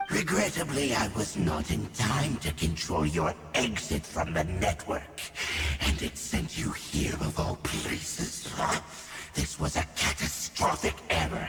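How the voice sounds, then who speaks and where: A cartoonish character voice comes at a fairly slow pace. Clear echo and clear background noise are present. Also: man, very deep, low pitch for a man. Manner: cold, formal, zealous.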